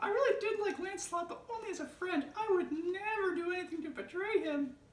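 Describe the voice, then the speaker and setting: Someone in a squeaky, put-on character voice speaks at a fairly quick pace with ordinary pitch variation and a slight echo. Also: woman, extremely high pitch for a woman. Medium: stage play.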